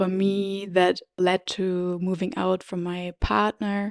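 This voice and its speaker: In a very clean recording with a silent background and a dry, close sound with no echo, a woman with a German accent speaks very slowly with fairly even intonation. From Germany. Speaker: podcast host. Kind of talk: personal storytelling podcast; guided meditation. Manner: hesitant, with fillers.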